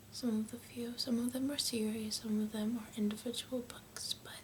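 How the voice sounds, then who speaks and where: A soft-spoken woman with an American accent talks at a fairly high pitch in a monotone, flat intonation. Noticeable background noise sits under her voice. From United States. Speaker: ASMR creator. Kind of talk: casual talk to camera.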